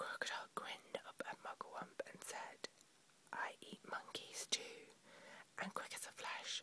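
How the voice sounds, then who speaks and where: A woman whispers at a fairly slow pace with long, frequent pauses. Noticeable background noise runs underneath. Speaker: ASMR whisper video creator. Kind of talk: whispered audiobook-style reading of a children's book. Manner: whispered, soft.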